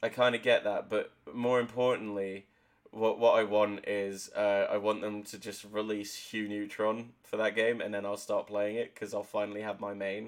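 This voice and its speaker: A man talks at a moderate pace with a fairly low pitch. His intonation stays monotone and flat. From Devon, southwest England. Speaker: gaming podcast co-host. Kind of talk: casual chat.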